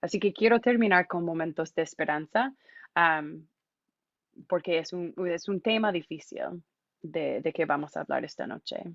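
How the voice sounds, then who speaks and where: The speech comes in an English accent at a fairly slow pace. Pitch variation is ordinary. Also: woman, fairly low pitch for a woman. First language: English (speaking Spanish). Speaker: immigration volunteer and speaker. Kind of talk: public talk. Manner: halting, many fillers.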